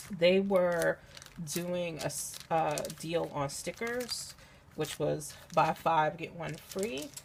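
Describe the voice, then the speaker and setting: Speaking very slowly, a woman with a fairly low voice is heard through noticeable background noise. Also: ordinary pitch variation. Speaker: crafter, scrapbooker. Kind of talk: casual talk to camera, craft haul.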